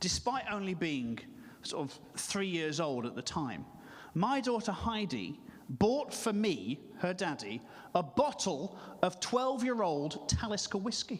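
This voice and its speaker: Pitched high, a man talks at a fairly slow pace with very wide pitch swings and long, frequent pauses. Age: 40s. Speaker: stand-up comedian. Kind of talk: stand-up.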